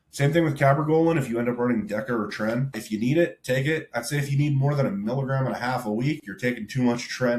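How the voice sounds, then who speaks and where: Noticeable background noise runs behind the voice. A man speaks very fast, with ordinary pitch variation. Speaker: bodybuilding coach. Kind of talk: tutorial. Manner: heavy breathing; casual.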